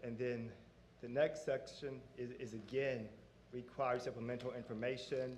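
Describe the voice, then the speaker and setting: There is audible room echo as a man talks at a moderate pace with a medium pitch. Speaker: auditor presenting financial audit. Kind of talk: formal presentation to board. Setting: public board meeting.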